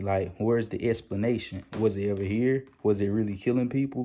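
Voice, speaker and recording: A quiet, dark and mellow man's voice at a fairly low pitch with fairly even intonation. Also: very clean recording, silent background. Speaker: YouTube stock market commentator. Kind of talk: casual vlog commentary. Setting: at home, child sleeping. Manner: quiet, inside voice.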